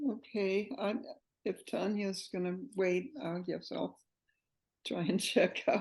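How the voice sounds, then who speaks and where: A woman speaks at a very slow pace with vocal fry. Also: medium pitch for a woman, ordinary pitch variation. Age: 80s+. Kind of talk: group sharing circle. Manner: halting.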